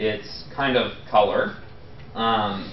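Light background noise and audible room echo around a man's voice. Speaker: professor. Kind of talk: lecture. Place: classroom.

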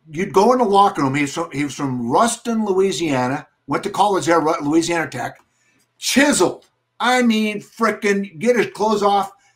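Against a quiet background, a man speaks with a high pitch and lively intonation. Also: moderate pace. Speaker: sports broadcaster and former football coach. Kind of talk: casual banter and storytelling. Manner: animated, punchy, upbeat; storytelling, vivid, rambling anecdotes. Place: home room.

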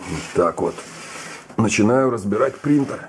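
Speaking at a fairly slow pace, a man with a fairly low pitch uses lively intonation.

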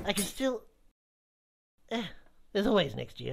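The voice is a cartoonish character voice at a fairly high pitch. It moves at a moderate pace. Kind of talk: comedic kids web series dialogue. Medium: puppet.

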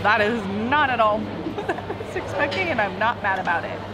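With music in the background, this woman keeps a moderate pace. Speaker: travel vlogger. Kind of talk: casual vlog chat. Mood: excited, amused. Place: market. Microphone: phone near.

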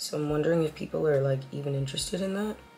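Over noticeable background noise, a woman speaks at a very deep, low pitch with lively intonation. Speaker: vlogger. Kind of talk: casual vlog talk to camera. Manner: animated.

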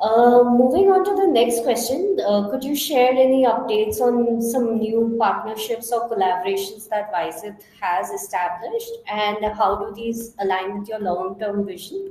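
A woman's fairly high voice at a moderate pace, lively intonation and hardly any pauses, over noticeable background noise. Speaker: event moderator. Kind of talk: Q&A interview. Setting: online audio chat room.

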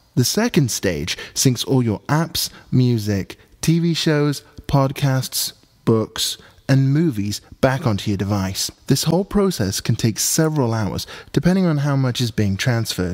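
This man has a British accent and a medium pitch. He speaks at a fairly slow pace with lively intonation. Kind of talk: tech tutorial narration.

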